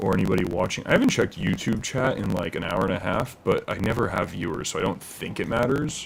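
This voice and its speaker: The speech comes at a very fast pace with noticeable background noise. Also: man. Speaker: live streamer. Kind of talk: casual chat.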